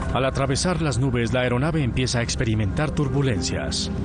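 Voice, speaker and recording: Music plays behind a man speaking at a fairly quick pace and medium pitch. His loudness stays very even, and his pitch varies in an ordinary way. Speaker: voice actor. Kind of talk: documentary narration.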